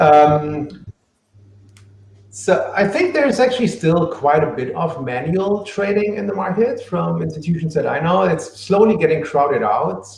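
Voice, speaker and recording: This man speaks at a moderate pace in a high voice with lively intonation. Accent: German. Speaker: book author on machine learning for trading. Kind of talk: live Q&A. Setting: live online stream.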